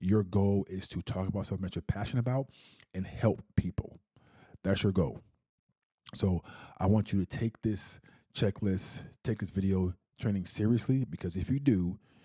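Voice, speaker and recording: Speaking at a moderate pace with long, frequent pauses, a man has a fairly low pitch and a dark, mellow tone, on a very clean, dry and close recording with no echo and a silent background. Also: ordinary pitch variation. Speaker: podcasting coach. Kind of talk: tutorial. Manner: stutters.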